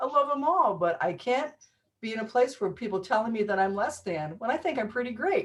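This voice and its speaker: A woman with a fairly high voice talks at a fairly quick pace in an animated tone, her pitch swinging very widely. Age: 60s. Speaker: healer and musician. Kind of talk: interview conversation.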